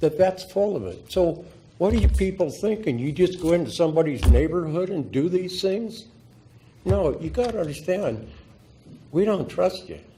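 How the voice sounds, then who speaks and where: A man's high, dark, mellow voice at a moderate pace, with ordinary pitch variation and audible room echo. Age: 80s+. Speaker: public commenter, veteran. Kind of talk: public testimony at council meeting. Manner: animated, confrontational.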